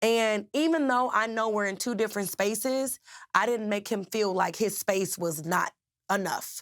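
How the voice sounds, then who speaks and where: The delivery is animated, with ordinary pitch variation at a moderate pace. The recording is very clean, with a silent background. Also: woman, fairly high pitch for a woman. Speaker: relationship coach and former athlete. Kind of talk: interview conversation. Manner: loud.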